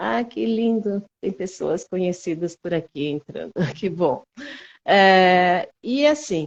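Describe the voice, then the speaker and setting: With pitch that swings very widely, a woman talks at a fairly slow pace. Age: 60s. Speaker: physical education teacher. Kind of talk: casual chat. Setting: video call. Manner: halting.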